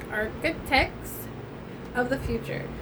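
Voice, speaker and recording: A woman speaks with a high-pitched voice over noticeable background noise, and the room's echo is audible. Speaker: tarot reader. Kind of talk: tarot reading with read-out card text.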